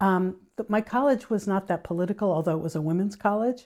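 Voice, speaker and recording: An ordinary speaking voice with an American accent and ordinary pitch variation comes through on a very clean recording with a silent background. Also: woman. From New England, US. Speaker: physician and author. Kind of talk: interview. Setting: at her home.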